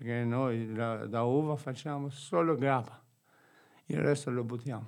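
Speech comes at a fairly slow pace in an Albanian accent, with long, frequent pauses. The pitch varies an ordinary amount. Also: man, medium pitch for a man. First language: Albanian (speaking Italian). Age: 60s. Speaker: gardener staying at a shelter. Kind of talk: radio interview.

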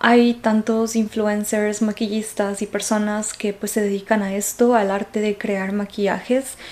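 A woman speaks at a fairly high pitch in a flat, monotone way, at a fairly slow pace with hardly any pauses. Noticeable background noise is present. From Ecuador. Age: 20s. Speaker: podcast host. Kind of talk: casual monologue. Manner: hesitant, many fillers.

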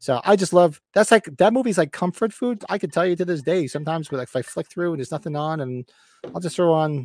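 Very fast speech in a New Jersey accent carries lively intonation on a very clean recording with a silent background. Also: man. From Northern New Jersey. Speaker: podcast co-host. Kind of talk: casual chat. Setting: livestream with live chat.

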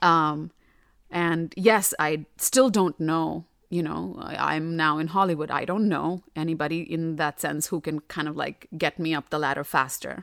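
On a very clean recording with a silent background, a woman with a very deep, low pitch talks at a fairly slow pace with ordinary pitch variation. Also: dry, close sound with no echo. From India, North Delhi. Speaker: actress and audiobook narrator. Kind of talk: casual chat.

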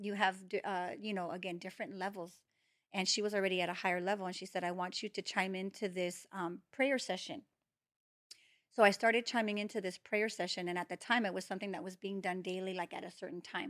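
At a very fast pace, a woman at medium pitch speaks with fairly even intonation on a very clean recording with a silent background. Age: 40s. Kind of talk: testimony.

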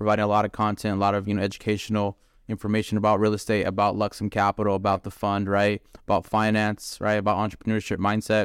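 On a very clean recording with a silent background and a dry, close sound with no echo, a man with fairly low pitch talks at a very fast pace in a monotone, flat intonation. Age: 30s. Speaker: podcast host, real estate investor. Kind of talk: casual chat.

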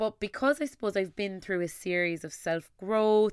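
A woman with an Irish accent speaks in an animated tone at a moderate pace, on a very clean recording with a silent background. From Ireland, Tipperary. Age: 20s. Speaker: podcast host and content creator. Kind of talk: solo podcast monologue.

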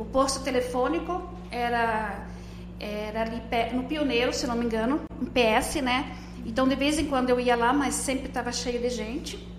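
Over noticeable background noise and audible room echo, a woman speaks at a moderate pace. Her pitch is high and her intonation fairly even. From Rio Grande do Sul, Brazil (Não-Me-Toque). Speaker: farmer and mother. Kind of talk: casual interview.

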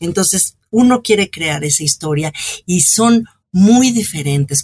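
Her pitch is fairly low and her intonation lively. The woman speaks somewhat breathily at a fairly slow pace. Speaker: cultural journalist and author. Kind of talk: interview.

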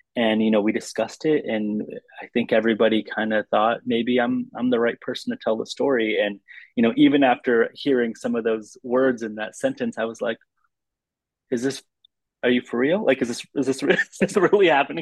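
With a dry, close sound and no echo, a man with a plain, everyday voice talks fairly quickly at a medium pitch, varying it in an ordinary way. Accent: American. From US Midwest, Lansing, Michigan. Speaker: documentary film director. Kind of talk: interview conversation.

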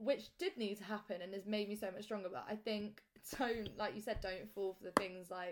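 A woman speaks at a fairly quick pace in an ordinary speaking voice, her medium pitch moving with ordinary variation. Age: 20s. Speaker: podcast host. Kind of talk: casual chat.

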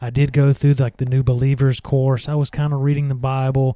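A man speaks in a Southern US accent at a fairly high pitch. His tone is dark and mellow. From US South, Mississippi (Meridian). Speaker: podcast host. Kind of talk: solo religious podcast talk and testimony.

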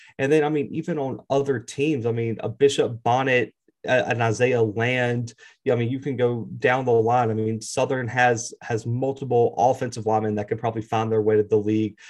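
Fairly even intonation marks this man's unremarkable speaking voice, pitched in the middle range. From US South, Mobile, Alabama. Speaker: college football YouTube analyst. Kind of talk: casual sports talk.

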